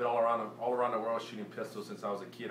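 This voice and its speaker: A man with a Cajun accent, with audible room echo and noticeable background noise. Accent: Cajun Louisiana English. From Louisiana, Cajun country (New Iberia). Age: 20s. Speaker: competitive pistol shooter. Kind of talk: audition self-introduction. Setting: shooting range. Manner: unscripted, halting with repetitions.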